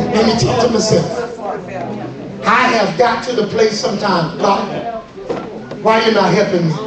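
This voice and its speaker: In an animated tone, a man talks at a moderate pace and a high pitch with long, frequent pauses over noticeable background noise. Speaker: preacher. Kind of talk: sermon to a live congregation, call-and-response. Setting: church. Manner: animated, fervent, rhythmic exhortation that urges the crowd to respond; repeats phrases for emphasis, with laughter and shouted commands.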